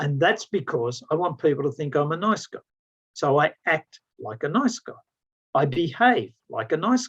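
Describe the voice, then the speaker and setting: A man with a fairly high pitch speaks with very wide pitch swings and big swings in loudness, in a dry, close sound with no echo. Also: moderate pace. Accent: Australian. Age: 60s. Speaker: business consultant and sales trainer. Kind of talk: mentoring talk. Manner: animated.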